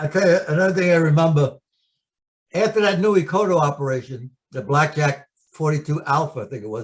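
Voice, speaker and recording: A man with a New York accent, fairly high pitched, lively in intonation, at a moderate pace. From New York City. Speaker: war veteran. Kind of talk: oral history interview.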